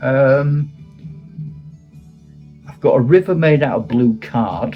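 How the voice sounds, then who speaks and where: Music plays in the background as a man speaks at medium pitch. His pitch swings very widely. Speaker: retired teacher and wargamer. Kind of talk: casual talk to camera.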